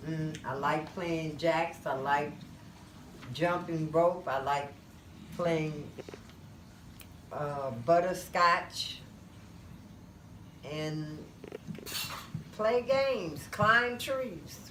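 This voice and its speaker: In a room with audible echo, a woman with a fairly low pitch speaks at a very slow pace with lively intonation and long, frequent pauses. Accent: Detroit. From US Midwest, Detroit, Michigan. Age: 60s. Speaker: grandparent being interviewed. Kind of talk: family interview.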